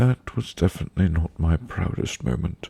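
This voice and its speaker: A man's very deep, low voice, somewhat breathy, with a dark, mellow tone. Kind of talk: read story. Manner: soft-spoken.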